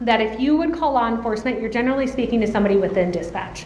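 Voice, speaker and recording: Fairly high in pitch, a woman speaks with a slight Minnesota accent and ordinary pitch variation. Audible room echo and noticeable background noise surround her. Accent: slight Minnesota accent, long O's. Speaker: adult protective services trainer. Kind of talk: conference presentation. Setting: conference room with audience. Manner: loud.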